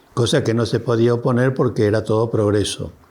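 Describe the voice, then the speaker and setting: A man's moderate-paced speech comes through over noticeable background noise. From Argentina, Río Negro (Alto Valle). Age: 80s+. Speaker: elderly local resident. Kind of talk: documentary interview testimony. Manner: halting, with self-corrections.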